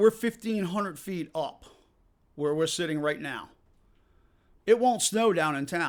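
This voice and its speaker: With a slight Massachusetts accent, a man speaks at a moderate pace with lively intonation on a very clean recording with a silent background. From Massachusetts, near Worcester. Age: 50s. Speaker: park owner. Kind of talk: interview. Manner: casual, halting with fillers.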